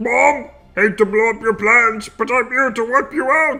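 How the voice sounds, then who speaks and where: Using a put-on character voice pitched extremely high, a man projects loudly at a moderate pace. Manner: menacing, boastful.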